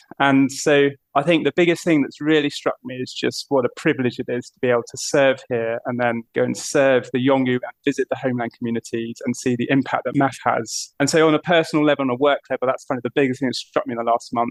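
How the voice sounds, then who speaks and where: A man with a British accent talks at a very fast pace and a medium pitch, with hardly any pauses and fairly even intonation. Loudness swings widely, and the sound is dry and close with no echo. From southern England. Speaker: aviation mission operations manager. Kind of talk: podcast interview.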